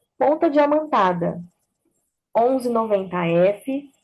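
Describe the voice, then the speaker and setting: Music plays in the background as a woman speaks at a very slow pace. Her fairly high pitch makes very wide swings. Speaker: dentist and teacher. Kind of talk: lecture.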